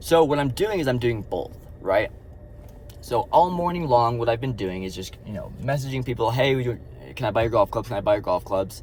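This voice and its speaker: Speaking at a fairly quick pace, a man with a medium pitch uses lively intonation. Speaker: vlogger, side-hustle reseller. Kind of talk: casual vlog monologue. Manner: fast; casual, filler-heavy.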